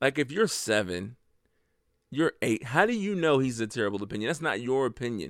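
A man's medium-pitched, animated voice at a fairly quick pace, swinging very widely in pitch, on a very clean recording with a silent background. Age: 30s. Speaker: podcast host. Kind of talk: solo podcast monologue. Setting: home bedroom. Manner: casual and animated.

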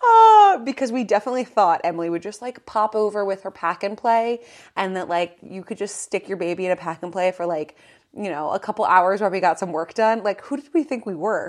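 In a plain, everyday voice, a woman speaks at a medium pitch and a fairly quick pace with ordinary pitch variation, on a very clean recording with a silent background. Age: 20s. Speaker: podcast co-host, fashion content creator. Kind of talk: casual chat.

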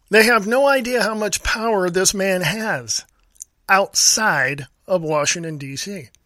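With an American accent, a man uses a raised, projected voice, high in pitch, with lively intonation at a fairly slow pace. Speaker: radio host. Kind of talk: angry political rant. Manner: loud, indignant, scornful; emphatic, repetitive, insulting.

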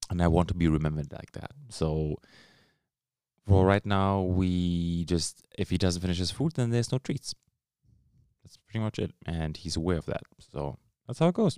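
In a very clean recording with a silent background, a man with a non-native accent and a very deep, low pitch speaks in a dark, mellow tone, with ordinary pitch variation and long, frequent pauses. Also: moderate pace, big swings in loudness. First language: not English. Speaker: podcast host, father. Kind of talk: solo Q&A podcast.

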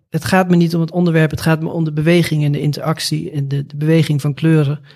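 A man speaks in a plain, everyday voice at a fairly high pitch. His intonation stays fairly even. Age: 40s. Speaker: artist. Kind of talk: interview.

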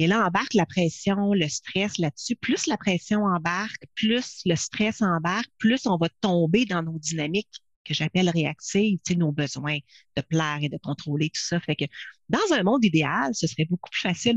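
A woman in a normal speaking voice, fairly low in pitch, talks with lively intonation at a fairly slow pace in a dry, close sound with no echo. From Quebec. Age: 50s. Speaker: leadership consultant and speaker. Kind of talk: interview.

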